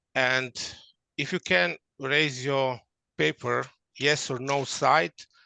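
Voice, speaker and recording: Against a quiet background, a man with a non-native accent speaks at medium pitch in a bright, sharp tone, the sound dry and close with no echo. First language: not English. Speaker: workshop presenter. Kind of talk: interactive workshop. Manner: halting.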